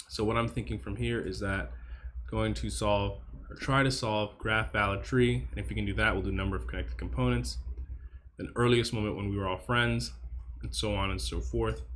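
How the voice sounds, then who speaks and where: Audible room echo accompanies a man speaking at a fairly quick pace. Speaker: coding practice streamer. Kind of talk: think-aloud coding tutorial. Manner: fast; repetitive stammering.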